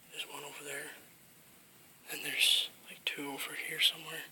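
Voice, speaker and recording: Whispering at a moderate pace against noticeable background noise. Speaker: nature vlogger. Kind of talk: casual vlog. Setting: outdoors at nature center. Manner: quiet.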